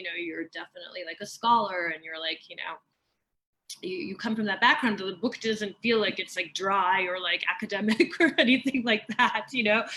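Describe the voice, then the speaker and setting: A woman's bright, sharp, fairly high voice with lively intonation at a fairly quick pace. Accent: American. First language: Persian. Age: 40s. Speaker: author. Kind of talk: author conversation. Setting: video call.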